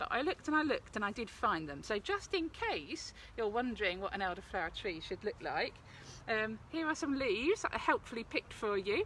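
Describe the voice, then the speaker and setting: With an Essex accent, a woman speaks at a fairly quick pace in a fairly high pitch, her voice making very wide pitch swings. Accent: South East Essex. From South East Essex, England. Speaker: forest school practitioner, cooking demonstrator. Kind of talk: live outdoor cooking tutorial. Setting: outdoors by a fire pit, live video. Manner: chatty, casual.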